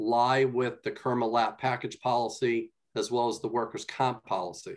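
A man speaks at a moderate pace. Little else is heard, as the background is quiet. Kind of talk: meeting report. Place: home room. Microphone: video call.

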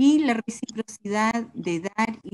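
Against a quiet background, a woman with a Chilean accent speaks in a dark, mellow, somewhat breathy tone with lively intonation. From southern Chile. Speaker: agroecologist; speaker. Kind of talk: presentation. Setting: video call. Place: home room. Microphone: video call.

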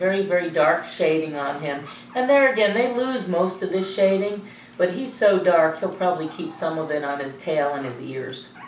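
With lively intonation and a fairly low pitch, a woman speaks at a moderate pace amid audible room echo and light background noise. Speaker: dog breeder. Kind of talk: sales pitch. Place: home room.

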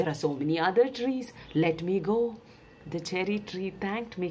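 Here a text is read aloud in a natural voice.

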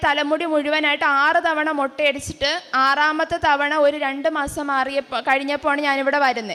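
A woman's raised, projected voice, high in pitch, bright and sharp in tone, with monotone, flat intonation. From southern Kerala, Thiruvananthapuram (Neyyattinkara). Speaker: testimony giver, medical graduate. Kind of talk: religious testimony. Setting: shrine altar.

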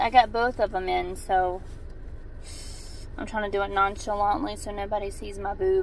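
The speech runs at a moderate pace over light background noise, with a dry sound and no echo. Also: woman. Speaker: mom fitness vlogger. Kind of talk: casual vlog chat. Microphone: phone near.

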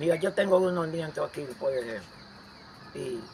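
A man speaks at a fairly slow pace in a high voice. Light background noise sits behind him. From rural Dominican Republic. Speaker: farmer. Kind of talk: storytelling interview. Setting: at his home. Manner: halting. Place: open country. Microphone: phone near.

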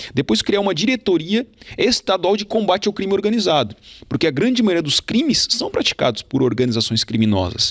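A man's high voice swings very widely in pitch as he speaks. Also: quiet background. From Santa Catarina, Brazil (Turvo); Santa Catarina, Brazil. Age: 30s. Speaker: police chief and political candidate; candidate. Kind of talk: campaign interview. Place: studio. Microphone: handheld.

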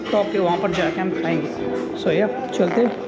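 Against noticeable background noise, a man talks at a moderate pace in a high pitch. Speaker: travel vlogger. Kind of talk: casual vlog chat.

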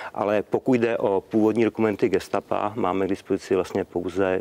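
A man speaks in a flat, monotone way. His pace is fairly quick. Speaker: historian. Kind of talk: documentary discussion. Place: garden. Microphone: lapel.

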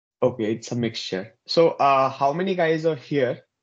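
A man speaks fairly slowly, with quiet all around him. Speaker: workshop instructor. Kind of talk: lecture. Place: home room. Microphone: earbuds.

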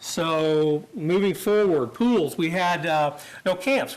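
A man speaks with a Midwestern American accent. His pitch is high and his intonation lively. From Kansas (Great Bend). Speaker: parks and recreation official. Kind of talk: presentation to city council. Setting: public council meeting. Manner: fast.

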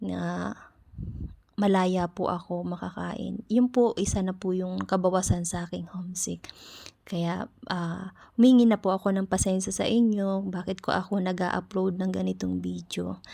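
A soft-spoken woman at a fairly slow pace, on a very clean recording with a silent background. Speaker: caregiver and vlogger. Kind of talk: vlog voice-over.

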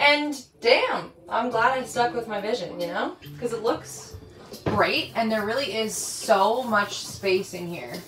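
A woman at a fairly slow pace with ordinary pitch variation, audible room echo, and faint music in the background. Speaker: renovation vlogger. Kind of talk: casual vlog chat. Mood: amused, satisfied. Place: home room.

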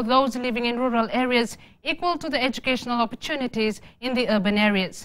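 Very fast and bright, a woman speaks in a high voice with a sharp tone. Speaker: news anchor. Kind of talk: news reading. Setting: studio. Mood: formal, neutral. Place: studio.

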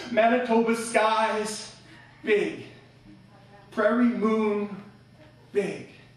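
A man speaks in a high pitch with monotone, flat intonation, very slowly and with long, frequent pauses. Audible room echo surrounds his voice. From Canada. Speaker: slam poet. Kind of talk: live slam poetry performance. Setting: live venue with audience.

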